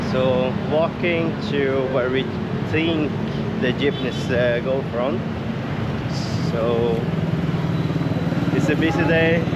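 Very slow speech with long, frequent pauses, a dry sound with no echo, and loud background noise. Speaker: travel vlogger. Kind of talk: casual vlog chat. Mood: upbeat, excited. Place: street. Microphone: phone near.

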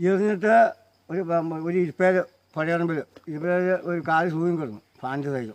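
The speaker is a man with a high pitch. Variation in his pitch is ordinary. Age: 60s. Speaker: elephant handler. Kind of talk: storytelling interview.

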